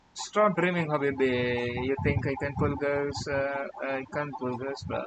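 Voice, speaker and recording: Over noticeable background noise, a man with an Indian accent and a fairly high pitch speaks at a fairly slow pace. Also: ordinary pitch variation. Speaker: live-coding streamer. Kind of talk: casual live stream while coding. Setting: live stream. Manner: halting.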